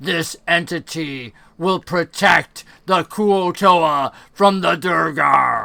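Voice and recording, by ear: Using a put-on character voice, a man speaks very slowly in a raspy, high-pitched tone.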